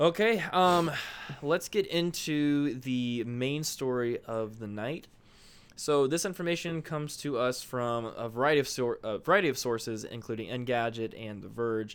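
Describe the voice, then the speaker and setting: A man with a normal speaking voice talks at a moderate pace in a medium pitch, his intonation lively, on a very clean recording with a silent background. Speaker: phone retail employee podcaster. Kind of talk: casual chat.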